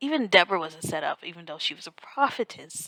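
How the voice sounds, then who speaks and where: A woman speaks quietly at a fairly quick pace in a bright, sharp tone, with a dry, close sound with no echo. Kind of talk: informal devotional talk to camera. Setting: on vacation, others asleep nearby. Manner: quiet, hushed.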